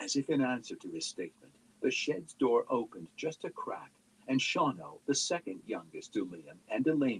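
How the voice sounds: Simply a natural reading voice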